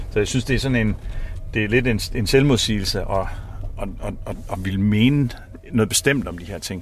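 Speaking at a moderate pace with long, frequent pauses, a man uses a fairly low pitch, ordinary pitch variation and big swings in loudness. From Denmark, Samsø island. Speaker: director of energy academy, climate activist. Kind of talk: casual interview. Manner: halting, repeats words.

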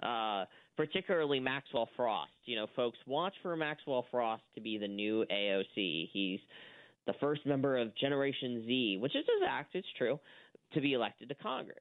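A man talks at a moderate pace with lively intonation and a medium pitch. He has a plain, everyday voice. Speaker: media watchdog editor, guest. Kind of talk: radio interview, conversational political commentary.

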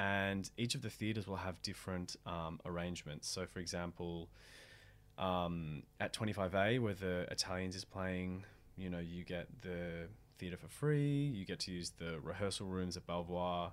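Speech in an Australian accent moves at a moderate pace with ordinary pitch variation. The recording is very clean, with a silent background. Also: man, very deep, low pitch for a man. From Australia, Melbourne. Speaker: actor, theatre director and playwright. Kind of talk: casual interview.

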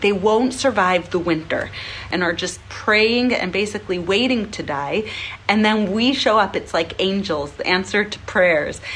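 At a fairly slow pace, a woman speaks with lively intonation at medium pitch, with noticeable background noise behind her. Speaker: charity leader and fundraiser. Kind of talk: charity appeal.

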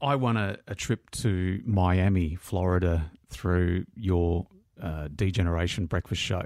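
In an Australian accent, a man speaks at a fairly slow pace with a very deep, low pitch. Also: ordinary pitch variation, very clean recording, silent background. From Melbourne, Australia. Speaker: radio presenter, podcast host. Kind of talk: podcast narration and interview.

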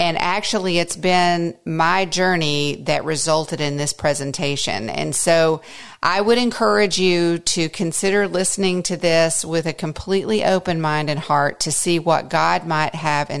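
A woman's normal speaking voice, fairly low in pitch, at a fairly slow pace with hardly any pauses and ordinary pitch variation. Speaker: podcast host and homeschool mother. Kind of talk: conference talk retold as podcast.

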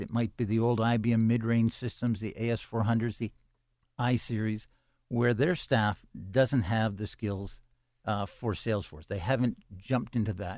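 A man with a normal speaking voice talks at a moderate pace and medium pitch, his intonation fairly even against a quiet background. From Canada, Toronto. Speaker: tech company CEO and founder. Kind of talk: radio interview.

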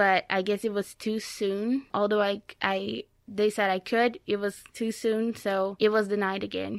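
Over a silent background in a very clean recording, a woman with a Brazilian accent speaks at a fairly slow pace and medium pitch, her intonation monotone and flat, the sound dry and close with no echo. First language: Portuguese. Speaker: immigrant and former college athlete. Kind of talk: interview conversation. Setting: studio.

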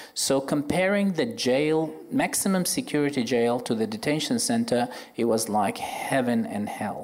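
A man with an Arabic accent speaks at a moderate pace, his pitch swinging very widely. Audible room echo surrounds his voice. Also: fairly high pitch for a man. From Iraq, Baghdad. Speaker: orthopaedic surgeon. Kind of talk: live panel discussion. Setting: stage with audience.

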